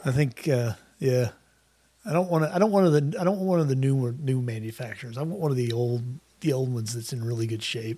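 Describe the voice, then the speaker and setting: A man with an American accent talks very fast at a medium pitch with lively intonation. His tone is dark and mellow, and somewhat breathy. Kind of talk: casual chat.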